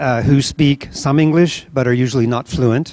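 Here a man with an American accent uses fairly even intonation. The recording is dry with no echo and the background is quiet. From US Midwest. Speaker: nonprofit founder and event organizer. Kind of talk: welcome speech. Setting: event venue with audience. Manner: halting, many fillers. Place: hall. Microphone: handheld.

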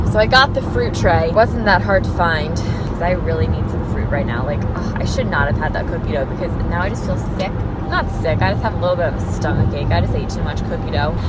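A woman at a fairly quick pace, dry with no echo, music in the background. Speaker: vlogger. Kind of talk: casual vlog chat. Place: car.

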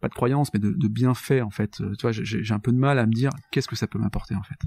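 A man talks at a fairly quick pace in a somewhat breathy voice with a dark, mellow tone. The sound is dry and close, with no echo. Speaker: podcast host. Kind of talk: interview conversation. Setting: guest's office.

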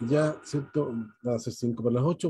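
Dry with no echo and a quiet background, this man's voice is dark, mellow and somewhat breathy. He moves at a fairly slow pace with ordinary pitch variation. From Chile. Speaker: dentist and event moderator; webinar host, moderator. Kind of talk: webinar moderation. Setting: video call. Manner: hesitant, many fillers. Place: home room. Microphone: video call.

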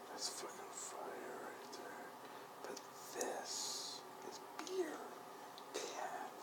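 The man talks at a very slow pace. Loud background noise fills the recording. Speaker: vlogger. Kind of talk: casual vlog chat. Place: home room.

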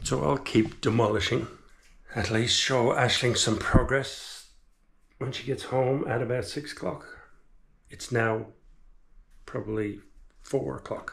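A man's voice with vocal fry and ordinary pitch variation, at a fairly slow pace broken by long, frequent pauses. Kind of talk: casual vlog chat. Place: bathroom. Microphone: camera far.

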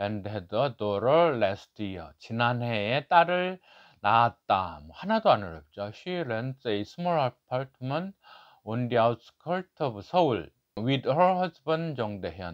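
Speaking at a very slow pace against a quiet background, a man's voice shows big swings in loudness and very wide pitch swings. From South Korea. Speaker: book review YouTuber. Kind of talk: book review tutorial. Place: office.

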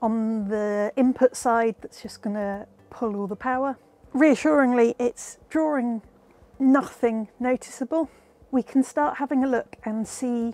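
A woman's high-pitched voice at a fairly slow pace, with ordinary pitch variation, big swings in loudness and a dry sound with no echo. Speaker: presenter. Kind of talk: tutorial. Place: workshop.

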